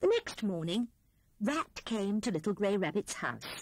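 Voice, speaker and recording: Her pitch is medium for a woman. The sound is dry with no echo, over a quiet background. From British. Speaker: audiobook narrator. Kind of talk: children's audiobook storytelling. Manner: lively storytelling with character voices. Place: studio.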